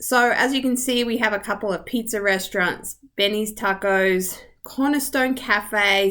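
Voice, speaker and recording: A woman with an Australian accent speaks at a fairly high pitch in a bright, sharp tone, on a very clean recording with a silent background. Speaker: real estate agent. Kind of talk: video tour. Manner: rising intonation at ends; casual, friendly.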